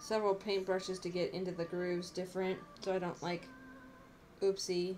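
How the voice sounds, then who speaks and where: Noticeable background noise runs under a woman's medium-pitched voice. She speaks at a fairly quick pace with fairly even intonation. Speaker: craft streamer. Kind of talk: casual live stream chat. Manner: not projecting voice. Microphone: too quiet.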